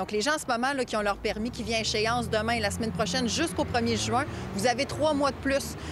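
Noticeable background noise accompanies a woman speaking at a very fast pace. Her pitch is fairly high, with ordinary variation. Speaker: government minister. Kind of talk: press interview.

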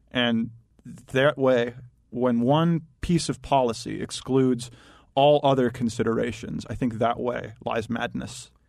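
An ordinary speaking voice from a man, medium in pitch, with fairly even intonation and a fairly slow pace. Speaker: data analyst. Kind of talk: talk radio discussion.

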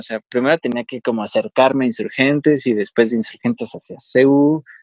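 A man talks in an ordinary speaking voice with ordinary pitch variation, the sound dry and close with no echo. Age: 20s. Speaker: paralympic archer. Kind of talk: interview.

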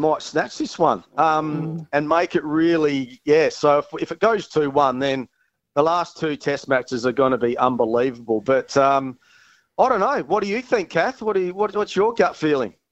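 An Australian accent colors this man's fairly high voice, which has lively intonation. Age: 40s. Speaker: former cricketer. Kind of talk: casual chat.

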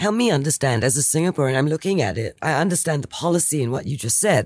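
Recorded very cleanly over a silent background, the voice moves at a fairly quick pace with lively intonation. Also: woman. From Singapore. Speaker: podcast host. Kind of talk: interview. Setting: studio.

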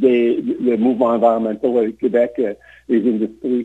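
A very slow-paced man in an English accent. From Montreal, Quebec. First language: English (speaking French). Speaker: political candidate. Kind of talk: interview. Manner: halting.

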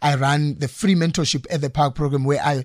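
Somewhat breathy and fairly high in pitch, a man speaks with fairly even intonation in a very clean recording against a silent background. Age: 30s. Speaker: life and career coach. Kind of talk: interview. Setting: studio.

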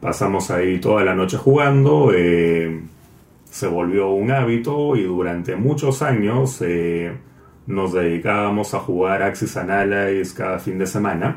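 A man's fairly low voice with audible room echo. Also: ordinary pitch variation, fairly slow pace. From Peru. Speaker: board game distributor. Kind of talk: interview.

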